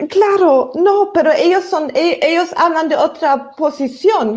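A woman with a German accent talks at a very slow pace. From Germany. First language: German (speaking Spanish). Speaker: novelist. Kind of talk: panel discussion. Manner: halting.

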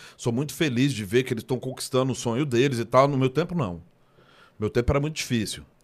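Over a silent background in a very clean recording, a man at medium pitch has an unremarkable speaking voice with ordinary pitch variation. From Brazil, Ceilândia (Federal District). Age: 40s. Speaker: rapper. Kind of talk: casual chat. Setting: studio.

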